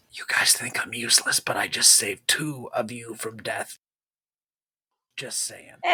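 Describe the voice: Whispering in a put-on character voice, the speaker keeps a moderate pace broken by long, frequent pauses.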